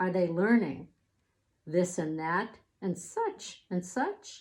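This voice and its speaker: Using a put-on character voice, a woman mumbles at a very slow pace, her pitch medium. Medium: read story. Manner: mumbling, fretful.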